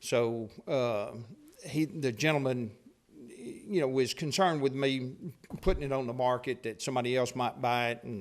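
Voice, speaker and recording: Speech in a Texan accent at a moderate pace. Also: man, medium pitch for a man, ordinary pitch variation. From Texas, Paris. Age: 60s. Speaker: property owner speaking at public hearing. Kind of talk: public comment at council meeting. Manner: halting.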